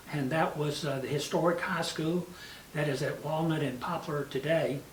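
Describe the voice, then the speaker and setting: A man's fairly high-pitched voice comes through with audible room echo and noticeable background noise. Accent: Tennessee. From US South, West Tennessee. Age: 70s. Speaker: mayor. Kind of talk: interview reminiscence. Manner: many fillers (uh, you know).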